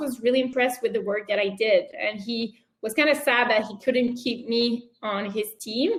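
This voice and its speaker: A woman's fairly high-pitched voice in a French accent. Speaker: entrepreneur. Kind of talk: interview.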